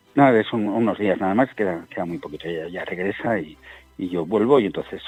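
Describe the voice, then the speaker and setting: A man's fairly low voice moves at a fairly brisk pace with normal pitch variation as music plays behind him. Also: big swings in loudness. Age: 60s. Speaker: war correspondent. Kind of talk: interview. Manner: halting.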